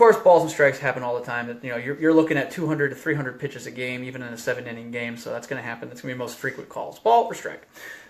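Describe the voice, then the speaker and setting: Over noticeable background noise, a man at medium pitch talks at a very fast pace with hardly any pauses, ordinary pitch variation and big swings in loudness. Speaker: baseball umpire instructor. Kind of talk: tutorial. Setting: Facebook live video. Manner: casual.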